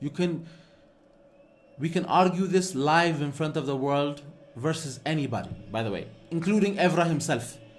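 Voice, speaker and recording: You can hear audible room echo in this recording. The man speaking has a fairly high pitch. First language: Amharic. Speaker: football fan streamer. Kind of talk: live watch-along commentary. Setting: live stream. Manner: animated.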